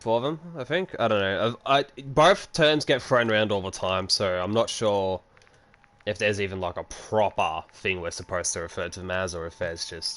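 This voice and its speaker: This man talks at a moderate pace in a fairly low pitch. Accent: Australian. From Australia. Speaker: gaming streamer. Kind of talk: casual chat while livestreaming a game. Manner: casual, filler-heavy.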